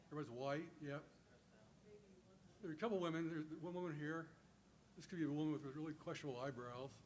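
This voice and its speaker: A man with a fairly high pitch talks very fast, with long, frequent pauses and fairly even intonation. Audible room echo surrounds his voice. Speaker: teacher educator. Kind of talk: conference talk. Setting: stage with audience.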